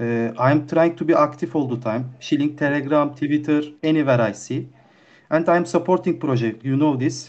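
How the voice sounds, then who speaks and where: Against a quiet background, someone with a non-native accent talks at a moderate pace. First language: not English. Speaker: community member. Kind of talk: online community Q&A. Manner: halting.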